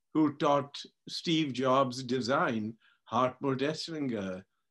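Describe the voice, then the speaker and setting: A man's fairly high voice with a Punjabi accent, at a very slow pace. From India. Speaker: tech industry pioneer. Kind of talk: interview. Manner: halting, many repetitions.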